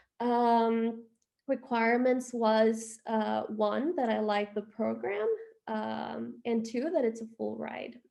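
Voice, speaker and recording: Against a quiet background, a woman with a Spanish accent speaks at a very slow pace. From Honduras, Tegucigalpa. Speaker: expat interviewee. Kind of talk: interview. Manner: casual, many fillers.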